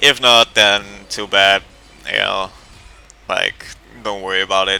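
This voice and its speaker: Over music in the background, a man with a non-native accent talks at a fairly slow pace in a fairly low pitch, leaving long, frequent pauses. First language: not English. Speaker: gaming youtuber. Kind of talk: gameplay tutorial commentary. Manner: casual, with many fillers.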